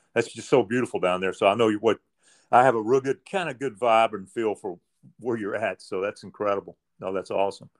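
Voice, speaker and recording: A man at a fairly quick pace, the sound dry and close with no echo. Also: medium pitch for a man, ordinary pitch variation. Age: 60s. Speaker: podcast host, tennis player. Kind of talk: interview. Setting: remote call.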